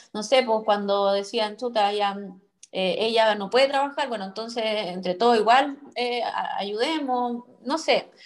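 In a Chilean accent, a woman talks at a fairly slow pace. Her pitch is fairly high, with ordinary variation. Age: 30s. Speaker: podcast co-host. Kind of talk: casual chat.

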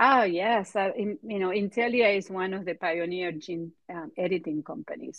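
The speaker is a woman. She talks with a Spanish accent. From Argentina. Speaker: biotech executive. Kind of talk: interview.

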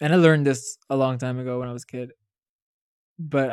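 A man talks at a fairly quick pace with a medium pitch. His intonation is monotone and flat. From Saudi Arabia. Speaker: podcast co-host. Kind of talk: casual chat.

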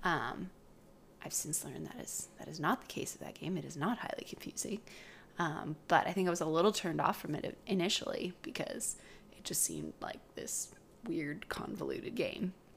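Whispering with a Western Canadian accent, a woman speaks at a moderate pace with big swings in loudness. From British Columbia, Canada. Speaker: podcast co-host, speech language pathologist. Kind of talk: casual chat.

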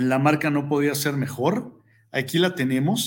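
A man is speaking. His tone is animated. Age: 40s. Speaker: sports podcast host. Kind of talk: casual sports commentary. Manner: hesitant with repeated words.

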